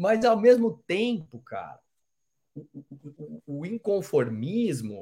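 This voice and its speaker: A man speaks with very wide swings in pitch. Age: 40s. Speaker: podcast host, sales trainer. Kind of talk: interview. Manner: animated.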